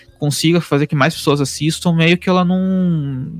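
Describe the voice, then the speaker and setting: A man with a fairly high pitch and ordinary pitch variation talks at a moderate pace, with a dry, close sound without echo and music in the background. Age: 30s. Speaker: podcast host, digital marketer. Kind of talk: casual chat. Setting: home office. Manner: halting.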